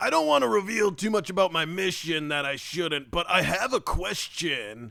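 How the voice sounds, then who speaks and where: Using a put-on character voice, a man takes on a pompous tone at a high pitch. He speaks at a moderate pace over light background noise. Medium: actual play. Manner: pompous, rambling.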